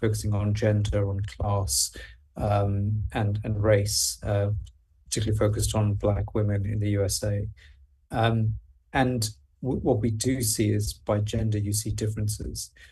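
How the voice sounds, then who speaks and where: The tone is dark, mellow and somewhat breathy. Delivery comes at a moderate pace with fairly even intonation. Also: man. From Wales. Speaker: health researcher, speaker. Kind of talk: Q&A answer.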